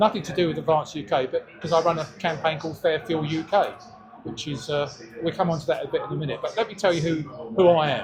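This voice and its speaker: Over music in the background, a man with a fairly high pitch talks at a very fast pace. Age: 70s. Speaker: political campaigner. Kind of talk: speech to supporters. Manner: halting.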